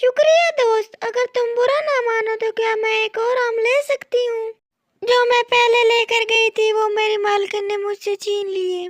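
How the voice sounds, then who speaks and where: A woman performs a cartoonish character voice at an extremely high pitch with fairly even intonation and a moderate pace. The sound is dry and close with no echo. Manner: gentle, earnest.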